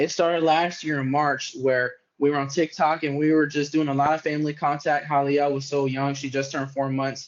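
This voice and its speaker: A man with an American accent, fairly high in pitch, at a fairly quick pace, in a monotone, flat intonation. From New York City (Bronx). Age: 20s. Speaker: social media wrestling content creator. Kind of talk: podcast interview.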